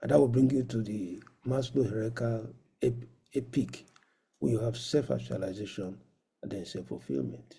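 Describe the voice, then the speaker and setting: With a dark, mellow tone and vocal fry, the speaker talks at a moderate pace with lively intonation and long, frequent pauses, and the room echo is audible. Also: man, medium pitch for a man. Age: 60s. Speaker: professor of medicine, conference speaker. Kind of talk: lecture.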